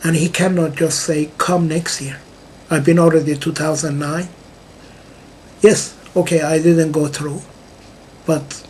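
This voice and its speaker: A man at a fairly high pitch and fairly slow pace, with noticeable background noise. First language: not English. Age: 60s. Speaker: music composer, vlogger. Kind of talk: personal video monologue. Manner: halting, with many fillers.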